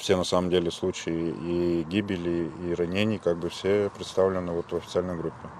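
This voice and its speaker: In a very deep, low voice, a man speaks at a moderate pace with monotone, flat intonation and hardly any pauses. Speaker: volunteer fighter. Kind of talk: interview. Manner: hesitant, filler-heavy.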